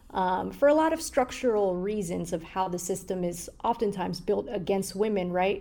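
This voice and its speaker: Speaking at a moderate pace with hardly any pauses, a woman uses a medium-pitched voice with a dark, mellow tone, vocal fry and lively intonation. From Somalia, moved to the US as a child. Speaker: journalist. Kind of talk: interview.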